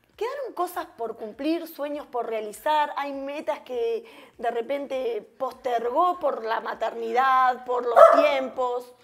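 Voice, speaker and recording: Light background noise sits under a woman's high voice. She speaks very slowly with ordinary pitch variation. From Uruguay, interior. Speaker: TV interview host. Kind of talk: interview. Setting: guest's home. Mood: warm, smiling, friendly. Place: home room.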